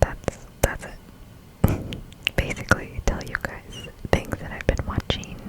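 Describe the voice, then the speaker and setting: A whispering woman in a relaxed tone, fairly slow with long, frequent pauses, big swings in loudness and noticeable background noise. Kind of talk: ASMR chat while doing nails. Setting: close-mic ASMR recording. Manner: whispered, soft, relaxed.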